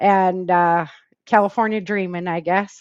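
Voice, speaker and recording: A woman speaks with an American accent at a medium pitch. Her intonation is monotone and flat, over a quiet background. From Michigan, US Midwest. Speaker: author and self-defense instructor. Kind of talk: interview.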